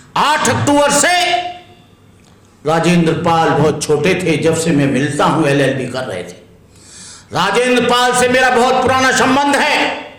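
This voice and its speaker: Noticeable background noise and audible room echo surround a man whose high pitch makes very wide swings, his tone animated and broken by long, frequent pauses. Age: 70s. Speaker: Buddhist monk. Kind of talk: speech to lawyers.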